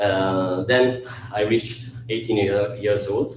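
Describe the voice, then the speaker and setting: With an Italian accent, a man speaks in a somewhat breathy voice at a fairly low pitch. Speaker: actor. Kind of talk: public talk. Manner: halting.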